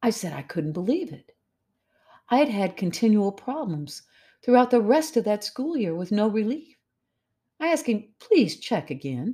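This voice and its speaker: A woman with an American accent speaks in a fairly high, somewhat breathy voice with a dark, mellow tone and very wide pitch swings. She leaves long, frequent pauses, and the recording is very clean with a silent background. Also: moderate pace. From Missouri, US. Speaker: podcast host. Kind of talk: devotional podcast monologue.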